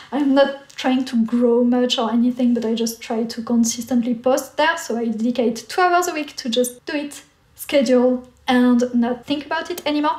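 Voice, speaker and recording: A woman with a French accent, high in pitch, at a moderate pace with ordinary pitch variation and hardly any pauses. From France. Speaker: artist and YouTuber. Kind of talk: casual Q&A chat.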